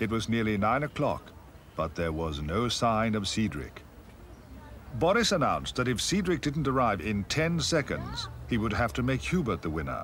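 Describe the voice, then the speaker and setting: At a moderate pace, the voice moves through very wide pitch swings over noticeable background noise. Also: man, medium pitch for a man. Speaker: narrator. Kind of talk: children's TV story narration. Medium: puppet.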